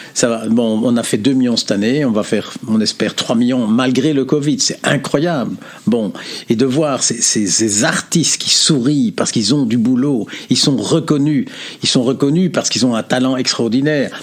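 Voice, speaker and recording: A man at medium pitch and moderate pace, with ordinary pitch variation and very even loudness, over noticeable background noise. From Belgium. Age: 70s. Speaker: philosopher and consultant. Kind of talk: interview.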